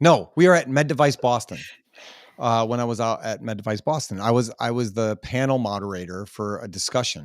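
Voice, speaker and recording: A man with a normal speaking voice talks at a medium pitch and a fairly quick pace, with ordinary pitch variation, in a very clean recording over a silent background. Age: 40s. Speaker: podcast host. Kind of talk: casual chat.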